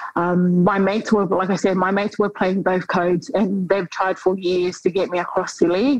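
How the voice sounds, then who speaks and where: Over noticeable background noise, a woman speaks at a medium pitch with fairly even intonation and hardly any pauses. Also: moderate pace. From New Zealand (Auckland), born in Tonga. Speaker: professional rugby league player. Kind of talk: interview.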